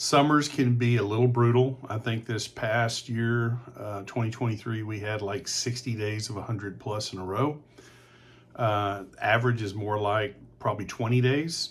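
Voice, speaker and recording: A man in a Texan accent, medium in pitch and somewhat breathy, at a moderate pace with fairly even intonation. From Texas, San Antonio. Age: 60s. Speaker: real estate agent. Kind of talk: informal presentation.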